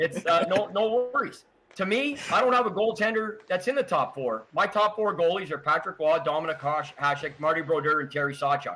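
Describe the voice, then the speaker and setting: A raised, projected voice with a Canadian accent and an animated tone, a fairly quick pace with hardly any pauses, and very wide pitch swings. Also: man, high pitch for a man. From Quebec. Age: 60s. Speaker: hockey historian. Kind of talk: podcast interview.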